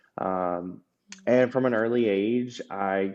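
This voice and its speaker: Speaking at a very slow pace with an American accent, a man uses a fairly low pitch and fairly even intonation. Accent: Georgia accent, stronger than usual today. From US South, Georgia. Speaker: podcast guest, former drag queen. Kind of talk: personal testimony interview. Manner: hesitant, many fillers and restarts.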